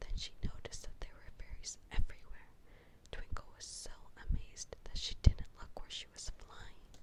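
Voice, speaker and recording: The voice belongs to a woman who is whispering. She keeps a moderate pace. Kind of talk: children's story reading. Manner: whispered.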